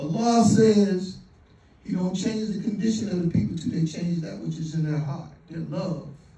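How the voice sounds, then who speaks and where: At a fairly slow pace, a man with a high pitch speaks amid audible room echo. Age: 60s. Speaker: community elder speaking at fundraiser. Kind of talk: motivational fundraising speech.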